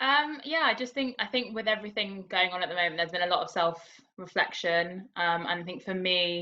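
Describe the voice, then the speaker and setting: Speaking in a London accent, a woman goes at a fairly quick pace with lively intonation and hardly any pauses. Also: medium pitch for a woman. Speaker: participant. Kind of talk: casual introduction.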